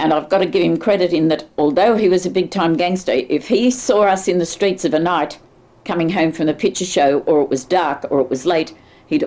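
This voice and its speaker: In a strong Australian accent, a woman with a dark, mellow tone and fairly low pitch speaks at a moderate pace with ordinary pitch variation. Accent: broad Australian. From Sydney, Australia. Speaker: oral history interviewee. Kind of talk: oral history interview.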